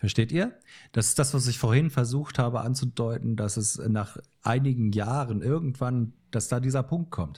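A man talks at a moderate pace. His tone is dark and mellow, somewhat breathy. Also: medium pitch for a man, ordinary pitch variation, very clean recording, silent background. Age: 50s. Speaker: photographer and musician. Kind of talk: casual chat.

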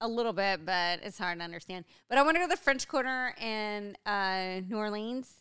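A woman talks loudly at a fairly quick pace, her medium pitch carrying lively intonation. Her tone is bright and sharp, on a very clean recording with a silent background. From US, Mexican-American heritage. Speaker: podcast co-host. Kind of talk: casual chat. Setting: home recording.

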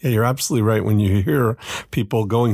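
His is an unremarkable speaking voice. This man holds a medium pitch with fairly even intonation. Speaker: podcast co-host. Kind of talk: casual chat.

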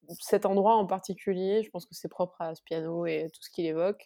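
Moving at a moderate pace, a woman talks in a dark, mellow tone at a medium pitch with fairly even intonation. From Corsica. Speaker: musician. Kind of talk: interview. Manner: halting.

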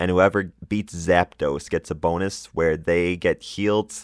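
On a very clean recording with a silent background and a dry, close sound with no echo, a man speaks at a moderate pace in a very deep, low pitch with vocal fry. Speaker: gaming podcast host. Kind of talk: solo podcast monologue.

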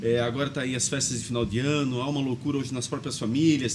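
Somewhat breathy man at a very fast pace. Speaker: podcast host. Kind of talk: interview. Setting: studio.

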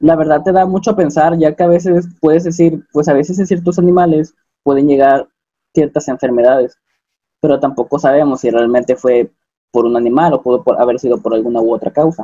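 A man speaks at a fairly quick pace in a fairly high pitch, with a dark, mellow tone. His loudness stays very even, and his pitch varies in an ordinary way. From Mexico, Acapulco (Guerrero). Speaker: biomedical engineering student, podcast co-host. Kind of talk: casual group discussion.

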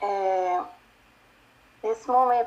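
This woman's medium-pitched voice holds a monotone, flat intonation. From Brazil, Pernambuco (northeast). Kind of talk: interview. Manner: halting, many fillers.

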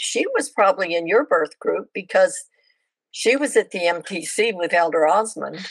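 Using a plain, everyday voice, a woman at medium pitch speaks fairly slowly with lively intonation. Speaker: former missionary. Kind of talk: casual interview chat. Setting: video call.

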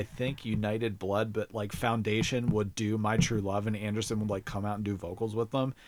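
At a moderate pace, a man with medium pitch speaks in an unremarkable speaking voice. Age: 30s. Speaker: podcast host, guest. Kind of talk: casual chat.

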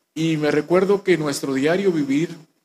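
At a fairly slow pace, a man speaks with ordinary pitch variation. The sound is dry and close, with no echo. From Guatemala, Guatemala City. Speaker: church minister. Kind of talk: testimony.

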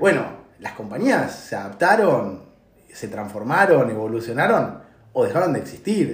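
A somewhat breathy voice speaks at a moderate pace. Audible room echo is present. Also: man. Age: 40s. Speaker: tech consulting CEO. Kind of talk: interview. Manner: halting.

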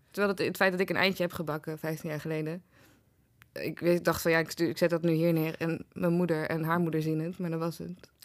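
A woman's monotone, flat delivery at a fairly quick pace, in a very clean recording with a silent background. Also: fairly low pitch for a woman. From Netherlands, Den Bosch. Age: 30s. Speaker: writer and programme maker. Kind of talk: casual interview chat.

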